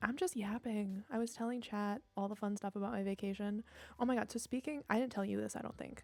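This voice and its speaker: Soft-spoken and very fast, a woman with a fairly high pitch keeps her intonation fairly even over noticeable background noise. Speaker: streamer. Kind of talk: casual chat.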